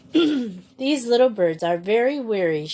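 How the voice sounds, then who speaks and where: A put-on character voice, soft-spoken and fairly slow. Its pitch swings very widely. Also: woman, fairly high pitch for a woman. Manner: warm, welcoming.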